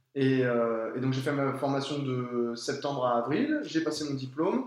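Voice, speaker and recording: A man's voice with audible room echo. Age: 30s. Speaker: professional tennis player. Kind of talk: interview testimony. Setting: at his home. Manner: halting, many fillers.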